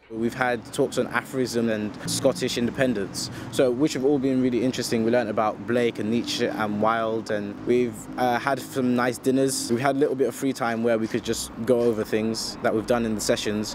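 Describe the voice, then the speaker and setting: A man's fairly quick, monotone delivery with hardly any pauses, dry with no echo, against noticeable background noise. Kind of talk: interview answer. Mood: calm, positive. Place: street.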